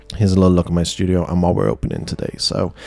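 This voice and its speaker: Noticeable background noise sits behind a man speaking with a Welsh accent. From Wales. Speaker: trading card unboxing streamer. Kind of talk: live stream unboxing chat. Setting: home studio, live stream. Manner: casual with many fillers.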